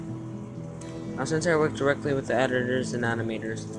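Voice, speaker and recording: A man speaks at a moderate pace with ordinary pitch variation, music playing in the background. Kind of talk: horror story narration. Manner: some mumbling and stumbling.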